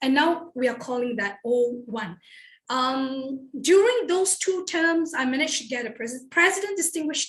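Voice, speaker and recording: With a Malaysian accent, a woman with a high pitch speaks at a moderate pace. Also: lively intonation. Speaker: toastmasters club member. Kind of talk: personal introduction speech.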